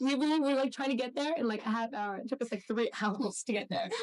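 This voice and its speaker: Speaking very fast, a woman uses a high pitch with ordinary pitch variation. The sound is dry and close, with no echo. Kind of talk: interview answer. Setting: echoey location. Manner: fast-talking; casual, chatty.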